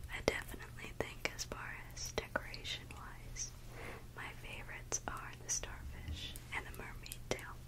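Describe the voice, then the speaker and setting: A woman is whispering. She goes at a moderate pace. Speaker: ASMR creator. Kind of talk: ASMR eating video talk. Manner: whispered. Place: home room. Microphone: studio mic.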